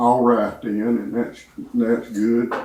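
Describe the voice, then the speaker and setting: A man at a medium pitch with a Southern US accent. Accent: Southern US (Georgia). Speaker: church member giving testimony. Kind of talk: testimony.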